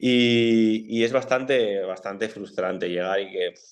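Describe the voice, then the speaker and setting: Speaking with a strong Bilbao accent, a man keeps a fairly low pitch and fairly even intonation. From Bilbao, Basque Country, Spain. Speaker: footballer. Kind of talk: interview.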